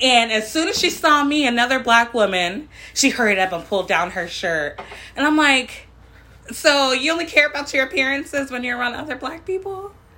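Her voice raised and projected, a woman talks at a fairly quick pace in a high pitch with very wide pitch swings. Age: 30s. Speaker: podcast co-host. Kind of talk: casual chat.

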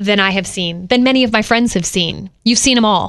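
A woman with a fairly high pitch talks in an animated tone with ordinary pitch variation. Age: 40s. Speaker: podcast host. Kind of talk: casual chat.

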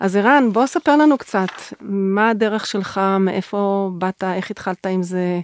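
A woman speaks at a very slow pace, her pitch medium with ordinary variation. The sound is dry and close, with no echo. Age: 60s. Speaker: podcast host, nonprofit founder. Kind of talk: interview conversation.

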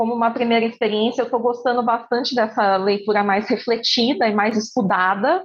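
This woman's voice is pitched high. Background music accompanies her. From Campinas, interior of São Paulo, Brazil. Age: 20s. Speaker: lawyer. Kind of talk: casual chat.

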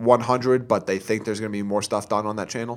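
An unremarkable speaking voice, a man's at medium pitch, keeps a fairly even intonation. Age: 20s. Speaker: wrestling podcast co-host. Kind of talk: casual chat. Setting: studio.

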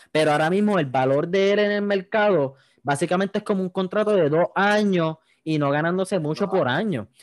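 A man's high-pitched voice at a fairly quick pace, very even in loudness, with a dry, close sound and no echo. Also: ordinary pitch variation. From Puerto Rico, Yauco. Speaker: podcast host. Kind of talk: casual chat.

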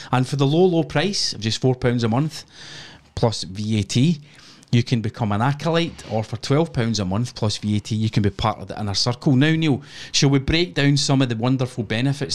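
A man with a Scottish accent talks at a fairly quick pace, medium in pitch with ordinary pitch variation. The recording is very clean and the background silent. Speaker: podcast host. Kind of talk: casual chat, live stream. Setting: home studio with headphones, live stream. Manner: swears casually, jokey.

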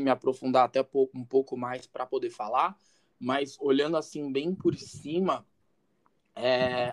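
A man with a plain, everyday voice at medium pitch, talking fairly slowly in a dry, close sound with no echo. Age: 20s. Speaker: content creator on masculinity and relationships. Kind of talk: casual chat.

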